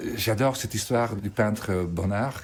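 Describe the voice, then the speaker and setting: This man's voice is fairly low and somewhat breathy, with ordinary pitch variation. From Belgium. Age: 70s. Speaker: photographer. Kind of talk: documentary interview.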